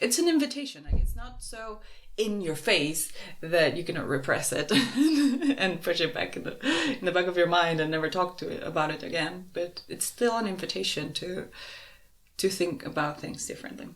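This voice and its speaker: A woman with a fairly low pitch speaks at a moderate pace with lively intonation. Audible room echo and noticeable background noise are present. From Uruguay. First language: Spanish. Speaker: podcast co-host. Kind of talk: casual conversation.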